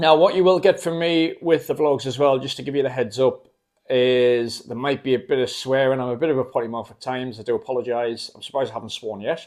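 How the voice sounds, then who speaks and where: With a Geordie accent, a man at medium pitch rattles along at a very fast pace with hardly any pauses and ordinary pitch variation. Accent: Geordie (Newcastle). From northern England, Newcastle. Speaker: travel vlogger. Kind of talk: casual vlog talk to camera. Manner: hesitant, many fillers.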